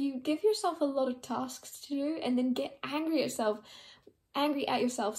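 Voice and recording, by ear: Mumbling at a moderate pace, a woman puts on a character voice pitched high.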